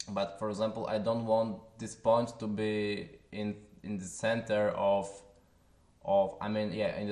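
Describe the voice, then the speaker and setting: A man with a Polish accent, fairly low in pitch, at a fairly slow pace with fairly even intonation, in audible room echo. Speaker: software tutorial creator. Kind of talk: tutorial. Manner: halting, with filler sounds.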